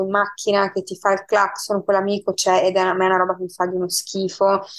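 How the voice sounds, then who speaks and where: This woman speaks at a medium pitch. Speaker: guest. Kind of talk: casual chat. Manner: halting.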